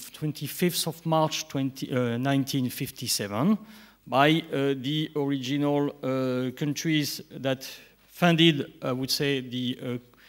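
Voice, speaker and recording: With a French accent, a man speaks at a fairly slow pace, his fairly high voice holding fairly even intonation. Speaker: nuclear industry director. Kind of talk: conference talk. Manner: halting.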